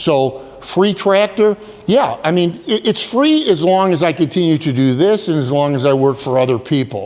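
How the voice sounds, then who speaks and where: With lively intonation and a fairly high pitch, a man speaks at a moderate pace. His loudness stays very even, though background noise is noticeable. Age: 60s. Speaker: tractor channel creator. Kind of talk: casual vlog monologue. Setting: cold barn. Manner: hesitant, many fillers.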